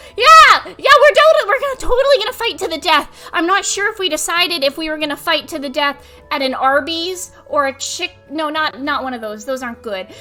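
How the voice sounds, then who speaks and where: The speaker talks at a fairly quick pace in a raised, projected voice with very wide pitch swings, big swings in loudness and hardly any pauses, with music in the background. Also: woman, extremely high pitch for a woman. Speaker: vtuber streamer. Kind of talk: live stream chat. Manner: animated.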